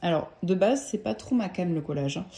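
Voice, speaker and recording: This woman's voice has a dark, mellow tone. Her pitch is fairly low. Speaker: tarot deck collector and YouTuber. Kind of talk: casual vlog review. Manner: hesitant with many fillers.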